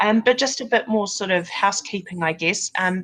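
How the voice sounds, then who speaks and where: A woman with a New Zealand accent speaks in a fairly even intonation. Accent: New Zealand twang. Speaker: recruitment candidate manager. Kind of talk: webinar presentation. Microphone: sound issues in the recording.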